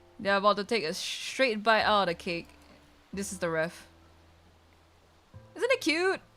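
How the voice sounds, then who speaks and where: A woman's medium-pitched voice with lively intonation, at a moderate pace with long, frequent pauses, over music in the background. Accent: Malaysian. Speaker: VTuber streamer. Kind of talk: casual chat. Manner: casual, filler-heavy.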